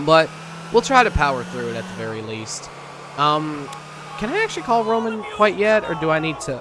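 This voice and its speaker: Over noticeable background noise, a man with a fairly high pitch speaks at a moderate pace, with very wide pitch swings, big swings in loudness, and long, frequent pauses. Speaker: gaming YouTuber. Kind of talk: let's play commentary. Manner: deflated, low energy.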